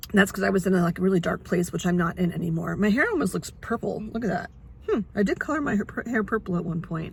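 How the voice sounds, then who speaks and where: Lively intonation runs through this voice over noticeable background noise. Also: woman. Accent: American. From New York. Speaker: vlogger sharing cancer journey. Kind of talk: casual vlog. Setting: outdoors near hospital. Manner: loud.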